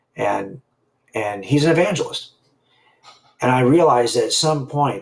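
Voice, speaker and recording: With lively intonation and a somewhat breathy sound, the man talks at a moderate pace. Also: fairly high pitch for a man. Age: 60s. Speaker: author and former police officer. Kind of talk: casual chat. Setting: live stream. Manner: halting, many false starts.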